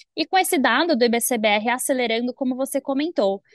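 Speaking at a fairly quick pace, a woman uses lively intonation in a dry, close sound with no echo. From São Paulo, Brazil. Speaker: economist co-host. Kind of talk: finance talk show. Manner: formal.

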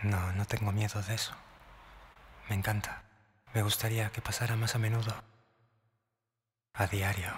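A man speaks in a fairly low, somewhat breathy voice with monotone, flat intonation and long, frequent pauses. The recording is very clean, with a silent background. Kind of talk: romantic whispered ASMR monologue. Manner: soft, intimate, slow.

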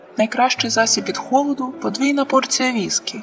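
A woman uses a put-on character voice at a high pitch. She talks at a fairly quick pace over clear background noise. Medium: read story. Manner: flirty, friendly.

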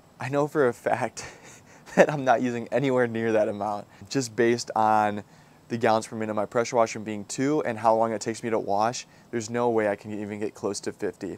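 A man talks at a fairly quick pace with fairly even intonation, and the sound is dry with no echo. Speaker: car detailing creator. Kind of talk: casual vlog chat. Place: garden. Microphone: lapel.

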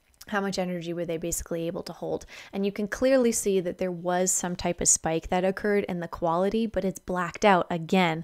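A woman at a fairly quick pace, fairly even in intonation, against a quiet background. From Alberta, Canada. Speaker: spiritual energy vlogger. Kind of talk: casual video monologue explaining charts. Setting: home video recording. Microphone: studio mic.

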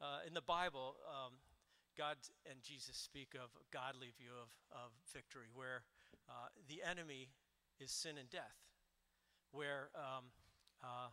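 A man's bright, sharp tone at a fairly slow pace, with long, frequent pauses. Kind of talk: sermon-like introduction before worship. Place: church. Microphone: handheld.

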